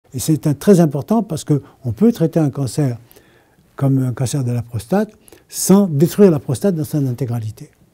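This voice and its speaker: Lively in intonation, a man speaks at a moderate pace in a fairly high, somewhat breathy voice with a dark, mellow tone. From France. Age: 80s. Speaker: inventor. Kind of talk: interview answer.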